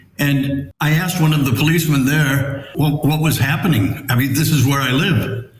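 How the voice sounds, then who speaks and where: Amid noticeable background noise and audible room echo, a man with an American accent speaks at a moderate pace, fairly high in pitch with ordinary pitch variation. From New York. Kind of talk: interview storytelling.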